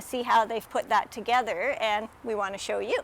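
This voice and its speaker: A woman with an ordinary speaking voice, fairly high in pitch, with ordinary pitch variation and a Canadian accent. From Canada. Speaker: RV reviewer. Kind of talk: video tour review. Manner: upbeat, chatty.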